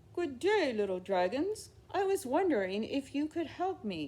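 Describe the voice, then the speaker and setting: In a put-on character voice, a female-sounding speaker uses a high pitch with very wide pitch swings. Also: moderate pace. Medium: read story. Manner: gentle, courteous.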